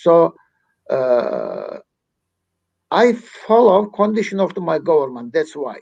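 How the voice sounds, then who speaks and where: A man with a Turkish accent, very slow pace and long, frequent pauses. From Turkey. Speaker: activist. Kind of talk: interview.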